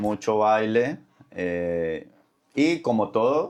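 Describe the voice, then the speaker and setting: This is a man speaking. The background is quiet. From Colombia, Cali. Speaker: lawyer, immigrant. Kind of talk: interview conversation.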